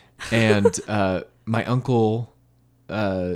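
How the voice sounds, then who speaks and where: On a very clean recording with a silent background, a man with an American accent talks at a medium pitch with ordinary pitch variation. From California. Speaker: podcast host. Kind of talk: casual chat.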